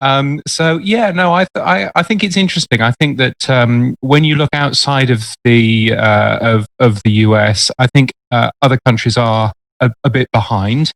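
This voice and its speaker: With a British accent, a man speaks at medium pitch and a moderate pace, his intonation lively and the sound dry and close with no echo. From UK. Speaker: radio and podcast industry expert. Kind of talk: casual chat.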